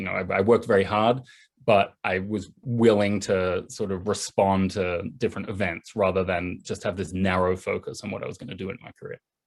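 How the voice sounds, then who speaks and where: Fairly quick speech comes from a man with an Australian accent. His pitch sits fairly low. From Australia, east coast near Sydney. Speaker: journalist and political writer. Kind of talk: video call interview. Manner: casual, fluent.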